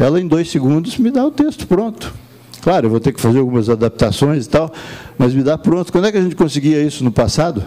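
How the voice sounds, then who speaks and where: A man's fairly high voice at a very fast pace, with very wide pitch swings over noticeable background noise. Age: 70s. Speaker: professional council leader. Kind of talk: conference speech.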